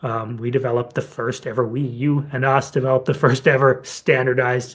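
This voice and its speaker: The pace is fairly quick and the intonation monotone and flat. The voice sounds somewhat breathy. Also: man. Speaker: company representative hosting community call. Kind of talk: community video call update. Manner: fast.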